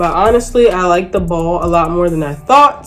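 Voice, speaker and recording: A woman with a fairly low pitch speaks with ordinary pitch variation. Audible room echo and noticeable background noise are present. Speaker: beauty vlogger. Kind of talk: casual vlog talk. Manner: casual, filler-heavy.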